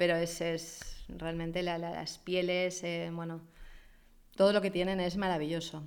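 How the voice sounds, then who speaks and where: A woman speaks with fairly low pitch and a monotone, flat intonation, and room echo is audible. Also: fairly slow pace. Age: 50s. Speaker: fashion influencer. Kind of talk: interview.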